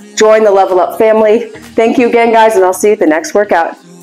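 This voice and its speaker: A woman talking at a fairly quick pace, with faint music in the background. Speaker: fitness trainer. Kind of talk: casual vlog chat. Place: gym.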